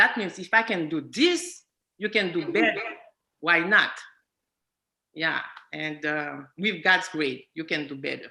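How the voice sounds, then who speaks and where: Speaking with a non-native accent, a woman goes at a fairly slow pace with long, frequent pauses. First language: not English. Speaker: psychiatric nursing student. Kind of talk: testimony in panel discussion. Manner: halting.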